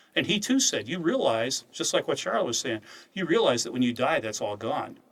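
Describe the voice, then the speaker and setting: Speaking at a moderate pace, a man uses an ordinary speaking voice at medium pitch. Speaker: head of an apologetics ministry and Bible teacher. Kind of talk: casual chat.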